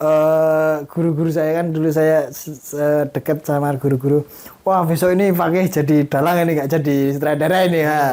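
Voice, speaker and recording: At a moderate pace with hardly any pauses, a man with a fairly high pitch and a dark, mellow tone speaks in a monotone, flat intonation. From Indonesia, Lampung (Sumatra). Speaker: film director and puppeteer student. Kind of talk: interview.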